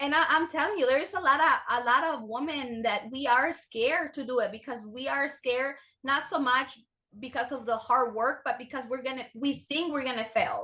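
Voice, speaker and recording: The voice is raised and projected, bright and sharp in tone. It has ordinary pitch variation over a quiet background. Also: woman, high pitch for a woman, moderate pace. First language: not English. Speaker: business owner. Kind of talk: interview. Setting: podcast.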